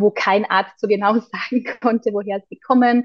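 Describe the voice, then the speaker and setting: In a plain, everyday voice, a woman speaks at a moderate pace with a fairly high pitch and fairly even intonation. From Austria, Carinthia. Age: 30s. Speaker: holistic health coach. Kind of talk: interview conversation.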